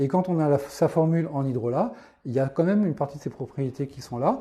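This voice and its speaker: A somewhat breathy man's voice, fairly high in pitch with a dark, mellow tone, over a quiet background. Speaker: naturopath. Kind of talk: live stream talk answering viewer questions. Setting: live video stream. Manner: fast; halting with many fillers.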